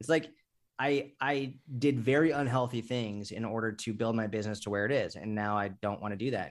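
An unremarkable speaking voice with an American accent, a fairly quick pace and ordinary pitch variation. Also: man, medium pitch for a man. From US Northeast, Massachusetts. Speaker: fitness coach and business founder. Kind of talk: casual interview. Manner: casual, filler-heavy.

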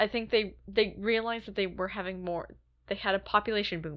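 The speaker has a normal speaking voice. Delivery is fairly quick with fairly even intonation. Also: woman. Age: 30s. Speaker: podcast co-host. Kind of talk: casual chat.

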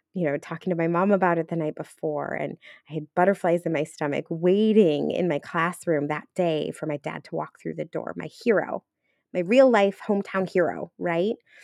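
Ordinary pitch variation marks a plain, everyday voice on a very clean recording with a silent background and a dry, close sound with no echo. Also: woman. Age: 40s. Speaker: podcast co-host and life coach. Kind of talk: personal storytelling monologue.

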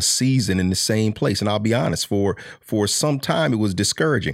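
On a very clean recording with a silent background, a man with a fairly low pitch speaks in an unremarkable speaking voice with ordinary pitch variation. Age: 50s. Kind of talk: faith-based motivational talk.

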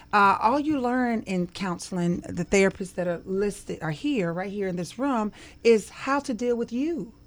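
On a very clean recording with a silent background, a plain, everyday voice moves at a moderate pace with lively intonation. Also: woman, medium pitch for a woman. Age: 50s. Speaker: social work professor. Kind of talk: interview.

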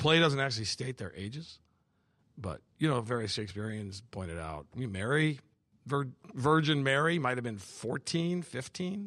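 With an American accent, a man of medium pitch talks at a moderate pace in an animated tone, his pitch swinging very widely. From US Midwest, Madison, Wisconsin. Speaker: pastor and former Navy chaplain. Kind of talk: casual interview.

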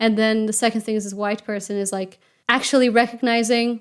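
On a very clean recording with a silent background, a woman with a Portuguese accent speaks quickly enough, at a fairly high pitch, in a monotone, flat intonation. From Portugal. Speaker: interviewee sharing personal experience. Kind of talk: personal testimony.

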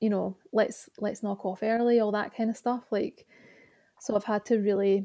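A woman speaks at a moderate pace in a dark, mellow tone, her pitch fairly high and her intonation flat and monotone. The recording is very clean, with a silent background. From Scotland, Glasgow. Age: 30s. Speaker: author. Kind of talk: casual chat.

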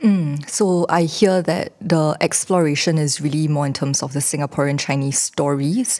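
A woman with a very deep, low pitch and a dark, mellow tone speaks at a moderate pace with hardly any pauses. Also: ordinary pitch variation. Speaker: theatre director and podcast host. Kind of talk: moderated panel discussion.

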